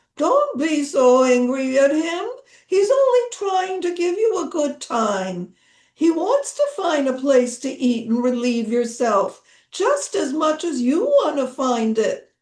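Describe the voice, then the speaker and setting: A woman speaks fairly slowly in a put-on character voice. Her pitch is high and swings very widely. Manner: gentlemanly, soothing.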